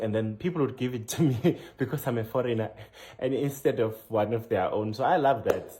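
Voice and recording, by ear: A man's somewhat breathy, medium-pitched voice in a South African accent, dark and mellow in tone, at a fairly quick pace with ordinary pitch variation.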